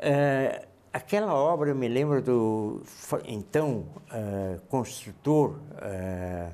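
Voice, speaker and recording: A man talks at a very slow pace. His medium-pitched voice swings very widely in pitch. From Blumenau, Santa Catarina, southern Brazil. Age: 70s. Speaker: interviewee, longtime local resident. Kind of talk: TV interview.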